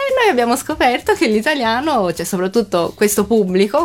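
The speech moves at a fairly quick pace with very wide pitch swings. Background noise is noticeable. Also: woman. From Japan (Tokyo). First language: Japanese (speaking Italian). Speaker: Japanese guest living in Italy. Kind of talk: casual radio chat. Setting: radio studio.

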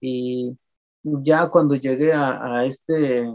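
The speaker has a Michoacán accent and fairly even intonation. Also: man. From Jarácuaro, Lake Pátzcuaro, Michoacán, Mexico. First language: P'urhépecha (speaking Spanish). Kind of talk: interview. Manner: halting, many repetitions.

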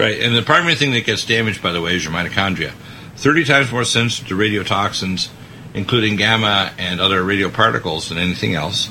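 Very fast male speech amid noticeable background noise. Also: fairly low pitch for a man, lively intonation. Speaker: radio host. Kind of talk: talk radio discussion.

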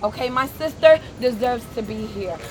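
Noticeable background noise sits behind this voice. A woman with an American accent speaks with very wide pitch swings. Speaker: activist. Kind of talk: rally speech. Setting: outdoors. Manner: impassioned, defiant outdoor address.

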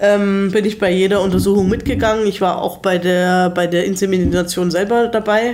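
This woman speaks in a flat monotone with very even loudness and hardly any pauses. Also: medium pitch for a woman, moderate pace. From Germany. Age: 30s. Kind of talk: casual interview chat. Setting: living room in Salzburg.

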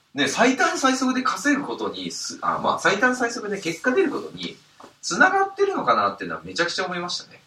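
Loudness swings widely as a man speaks. He moves at a fairly quick pace. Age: 30s. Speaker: podcast host and side-business investment advisor. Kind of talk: casual monologue. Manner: halting, many fillers.

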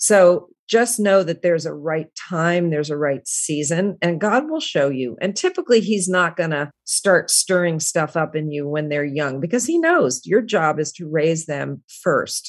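Speaking at a fairly slow pace with hardly any pauses, a woman uses a fairly low pitch and ordinary pitch variation. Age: 60s. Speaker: author and former stage actress. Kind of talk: interview. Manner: halting.

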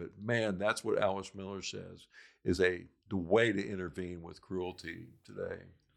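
Over a quiet background, a man with an American accent talks at a moderate pace in a fairly low pitch. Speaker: domestic violence program director. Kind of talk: casual chat.

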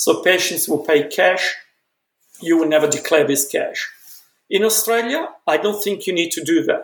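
A man talks at a moderate pace. He speaks in an Italian accent. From Italy, Milan. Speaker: dentistry professor. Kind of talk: interview. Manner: halting.

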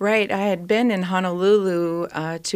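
A woman speaks at a moderate pace with fairly even intonation in an ordinary speaking voice. The recording is very clean, the background silent. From Minnesota. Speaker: travel company founder and nurse. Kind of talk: radio interview.

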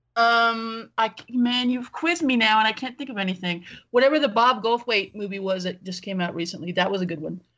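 With music in the background, a woman with an American accent talks at a fairly quick pace, hardly pausing, with ordinary pitch variation. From Los Angeles. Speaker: film podcaster. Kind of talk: casual chat.

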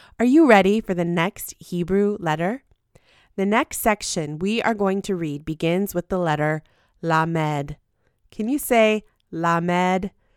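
In a very clean recording with a silent background and a dry, close sound with no echo, a woman with a plain, everyday voice speaks at a fairly slow pace, her medium pitch showing ordinary pitch variation. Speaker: podcast host. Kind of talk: scripted devotional teaching with prayer.

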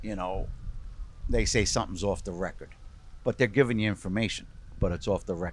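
The man's voice sits at a fairly low pitch with ordinary variation. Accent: Brooklyn. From New York, Brooklyn. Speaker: sports journalist. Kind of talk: casual interview.

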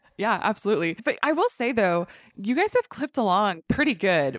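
An ordinary speaking voice from a woman at a medium pitch, fairly quick in pace, with a dry, close sound and no echo. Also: quiet background. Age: 30s. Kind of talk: casual interview. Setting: in person at a store.

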